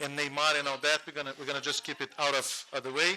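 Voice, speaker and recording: A man with a Portuguese accent speaks at a fairly high pitch with fairly even intonation. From Brazil, Rio de Janeiro. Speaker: panel moderator; lawyer. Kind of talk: conference panel introduction. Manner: fast.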